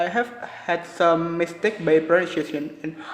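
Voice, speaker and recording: Through noticeable background noise, a man talks with a fairly high pitch. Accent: Indonesian. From Indonesia. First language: Indonesian. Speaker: university student. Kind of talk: class presentation. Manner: halting.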